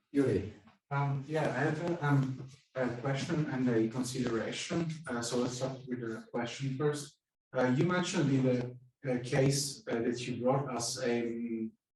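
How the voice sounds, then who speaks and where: With an Italian accent, a man speaks at a fairly slow pace in a medium pitch, his intonation fairly even and the room echo audible. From Italy. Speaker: psychoanalyst, audience member. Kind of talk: audience question at a lecture. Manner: halting, many fillers.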